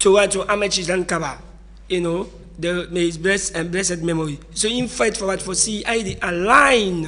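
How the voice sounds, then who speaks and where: The speaker keeps a moderate pace and ordinary pitch variation over noticeable background noise. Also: man. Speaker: political commentator. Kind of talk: radio discussion.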